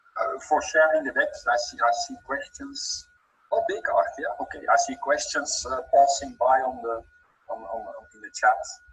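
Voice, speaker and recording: Over music in the background, a man with a Dutch accent talks at a moderate pace, his loudness swinging widely. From Belgium. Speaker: trainer. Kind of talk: webinar. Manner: halting, many repeated words.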